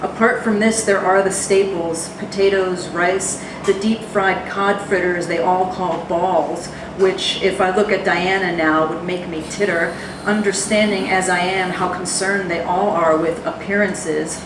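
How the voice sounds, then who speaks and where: In an American accent, a woman talks at a fairly slow pace with flat, monotone intonation. The recording has noticeable background noise and audible room echo. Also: medium pitch for a woman. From New Jersey. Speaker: poet. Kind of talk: poetry reading. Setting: stage with audience.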